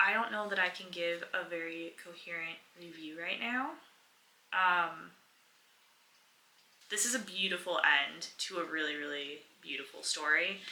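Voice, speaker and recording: A soft-spoken woman at a fairly low pitch, with ordinary pitch variation, long and frequent pauses, and audible room echo. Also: moderate pace. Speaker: book vlogger. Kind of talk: casual vlog talk to camera.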